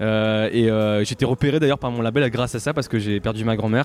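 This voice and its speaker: The speech is very fast with fairly even intonation, with music playing in the background. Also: man. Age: 30s. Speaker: singer-songwriter and dentist. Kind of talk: interview.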